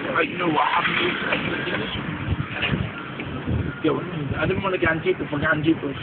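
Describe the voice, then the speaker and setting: Flat, monotone delivery over noticeable background noise. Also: man, moderate pace. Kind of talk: casual street talk. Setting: outdoors at a bus stop.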